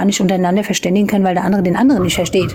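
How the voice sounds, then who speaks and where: Against noticeable background noise, a woman speaks at medium pitch with monotone, flat intonation. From Palatinate, Germany. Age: 30s. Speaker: live stream participant, parent. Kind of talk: casual discussion.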